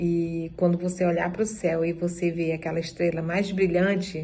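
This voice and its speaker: A woman speaks at a moderate pace in a fairly low, somewhat breathy voice with a dark, mellow tone and monotone, flat intonation. Room echo is audible. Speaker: dance group member. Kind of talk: testimony.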